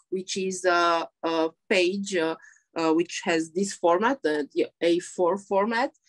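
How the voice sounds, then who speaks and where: In a dry, close sound with no echo, a woman of medium pitch speaks at a very slow pace. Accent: Romanian. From Romania. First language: Romanian. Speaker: poet and translator. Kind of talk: interview. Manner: halting.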